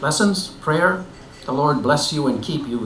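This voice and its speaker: A man's fairly high voice rises and falls with lively intonation amid noticeable background noise. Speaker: retired pastor. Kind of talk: personal essay reading.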